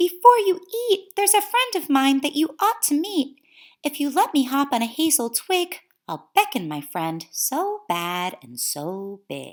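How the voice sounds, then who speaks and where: A woman speaks in a put-on character voice, high in pitch with very wide pitch swings, at a moderate pace. The recording is very clean, with a silent background. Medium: read story. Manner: sly, composed.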